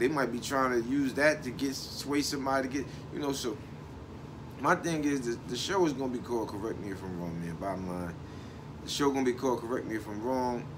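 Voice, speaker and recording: A man speaks with lively intonation, and audible room echo can be heard. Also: medium pitch for a man. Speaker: online show host. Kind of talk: casual monologue. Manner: frequent pauses while thinking; relaxed.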